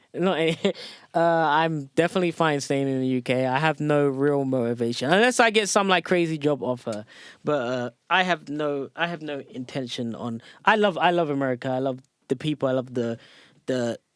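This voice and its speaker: This man has a fairly high voice and an English accent. His intonation is lively. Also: moderate pace, very clean recording, silent background. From England, South London. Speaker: top competitive video gamer. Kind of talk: casual podcast interview.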